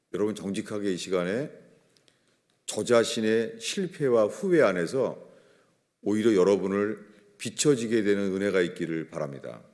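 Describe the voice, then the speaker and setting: Audible room echo around a man's fairly low voice, moderate pace, ordinary pitch variation, and long, frequent pauses. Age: 60s. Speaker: pastor. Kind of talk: sermon. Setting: church.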